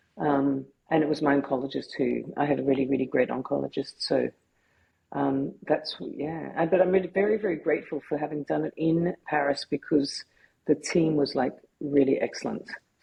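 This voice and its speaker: A woman in an Australian accent at a moderate pace. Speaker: photographer and filmmaker, cancer survivor. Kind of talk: podcast interview. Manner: halting, many repetitions.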